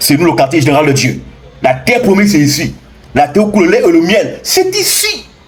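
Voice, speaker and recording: Over noticeable background noise and audible room echo, a man talks at a fairly quick pace with very even loudness. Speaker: spiritual teacher. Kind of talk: impassioned lecture. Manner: animated.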